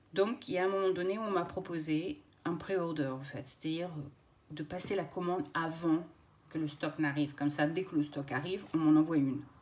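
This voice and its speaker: With a very deep, low pitch and fairly even intonation, a woman talks at a fairly quick pace. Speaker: craft YouTuber. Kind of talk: unboxing video. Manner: hesitant, many filler words.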